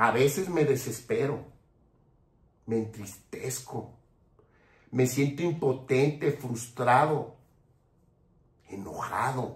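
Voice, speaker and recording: Very slow, somewhat breathy speech with long, frequent pauses, big swings in loudness and ordinary pitch variation. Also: man. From Mexico. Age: 60s. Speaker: political commentator. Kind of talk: political commentary monologue. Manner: impassioned.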